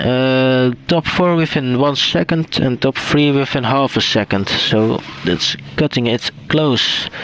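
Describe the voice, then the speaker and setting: A man with a Dutch accent at medium pitch, very slow pace and very even loudness, hardly any pauses, ordinary pitch variation, and noticeable background noise. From Netherlands. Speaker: esports race commentator. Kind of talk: live commentary.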